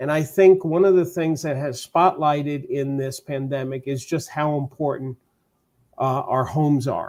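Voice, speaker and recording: With a New York accent, a man speaks at a moderate pace in a fairly high pitch and fairly even intonation. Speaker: real estate coach. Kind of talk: podcast interview.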